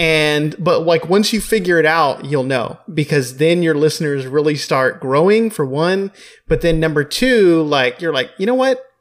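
A man's normal speaking voice, fairly high-pitched, with lively intonation, very even loudness, a moderate pace, hardly any pauses, and a very clean recording over a silent background. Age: 20s. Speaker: podcast host. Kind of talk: scripted intro; casual interview chat.

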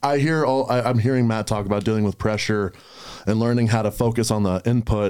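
Holding very even loudness, a man with an ordinary speaking voice talks at a fairly quick pace in a medium pitch with fairly even intonation. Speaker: podcast host. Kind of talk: casual chat.

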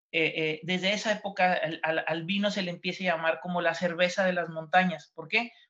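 With monotone, flat intonation, a man talks at a moderate pace. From Mexico, Baja California (Ensenada, Valle de Guadalupe). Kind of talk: casual chat. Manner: halting.

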